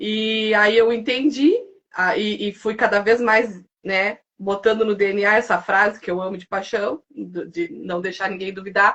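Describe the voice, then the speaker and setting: A woman speaks at a fairly slow pace with a fairly high pitch and ordinary pitch variation. Her loudness swings widely. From Santa Vitória, southern Brazil. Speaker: seamstress and guest. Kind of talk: live podcast conversation. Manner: intense, animated.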